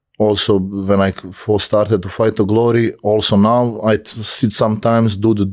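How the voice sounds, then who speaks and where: A man of fairly low pitch at a moderate pace, monotone and flat, with hardly any pauses. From Croatia. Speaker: kickboxer. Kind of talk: casual interview.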